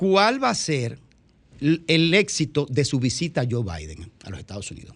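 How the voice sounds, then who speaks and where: A man's fairly high voice at a fairly slow pace, with vocal fry, very wide pitch swings and big swings in loudness. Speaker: radio panelist. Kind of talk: radio talk show discussion.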